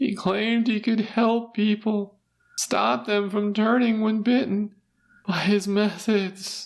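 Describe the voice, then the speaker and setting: Someone uses a put-on character voice that is shaky and fairly high in pitch, moving at a fairly slow pace. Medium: read story. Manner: trembling, fearful, guilty.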